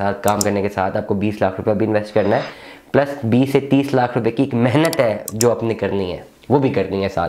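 With a normal speaking voice, a man talks at a moderate pace and fairly low pitch, keeping his intonation fairly even over light background noise. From Pakistan. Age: 30s. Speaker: real estate businessman. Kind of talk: monologue to camera. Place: office.

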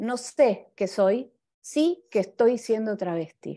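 A woman with a Buenos Aires accent, fairly high-pitched with a dark, mellow tone and ordinary pitch variation, over a quiet background. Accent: Buenos Aires Rioplatense Spanish. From Argentina. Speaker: graphic designer and illustrator. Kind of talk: talk with slides. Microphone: video call.

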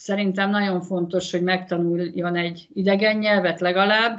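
A woman's monotone, flat delivery at a moderate pace against a quiet background. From Hungary. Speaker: former handball player, mother of athlete. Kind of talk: interview. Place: home room. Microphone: video call.

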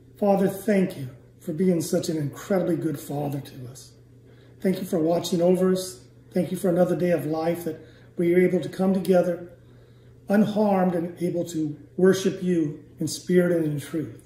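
The voice moves at a moderate pace, and room echo can be heard. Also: man. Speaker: church elder. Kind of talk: closing prayer. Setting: church. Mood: reverent, eyes closed praying. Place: home room. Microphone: phone near.

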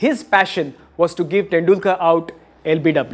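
This man's voice sits high in pitch and moves with lively intonation. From India. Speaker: comedian and cricket show host; comedian, cricket show host. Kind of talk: comic monologue with impressions; casual chat. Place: stage. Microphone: handheld.

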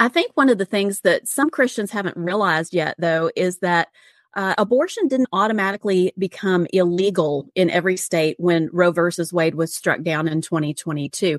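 With a normal speaking voice, a woman talks at a moderate pace and medium pitch, her pitch varying in an ordinary way, hardly pausing, the sound dry and close with no echo. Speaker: podcast co-host. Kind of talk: podcast interview.

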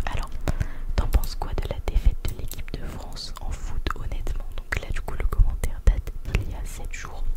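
A woman whispers with big swings in loudness. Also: moderate pace. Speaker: ASMR content creator. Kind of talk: ASMR close-up reading of viewer comments. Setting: close-up sensitive microphone. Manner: whispered, close to the microphone. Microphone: studio mic.

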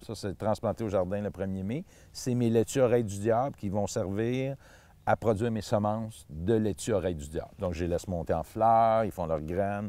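Speaking in a Quebec accent, a man uses a fairly low voice with a dark, mellow tone, ordinary pitch variation and a moderate pace, the sound dry with no echo. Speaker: seed grower and gardener. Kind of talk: tutorial. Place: garden.

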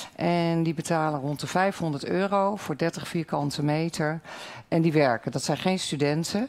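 Using an unremarkable speaking voice, a woman talks at a fairly slow pace with a fairly low pitch and ordinary pitch variation. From Netherlands. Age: 50s. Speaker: local party candidate. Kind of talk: debate. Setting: stage with audience. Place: hall.

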